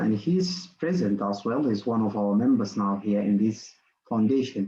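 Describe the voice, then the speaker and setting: Speaking with a non-native accent, a man uses a fairly low pitch and a dark, mellow tone at a fairly slow pace. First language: not English. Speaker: workshop presenter. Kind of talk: online lecture. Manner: halting, many fillers and repetitions.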